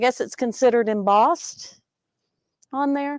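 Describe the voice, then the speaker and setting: A woman with a Southern accent, ordinary pitch variation, and a dry, close sound with no echo. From US South, Georgia. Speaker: sewing student. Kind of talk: casual show-and-tell on a live stream. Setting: sewing studio, live show. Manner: hesitant, many fillers.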